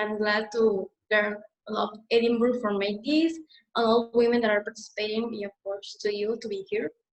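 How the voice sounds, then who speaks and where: A woman's fairly high voice comes through at an unhurried, middling tempo. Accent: Mexican. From Mexico. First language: Spanish. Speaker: student activist. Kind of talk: webinar presentation.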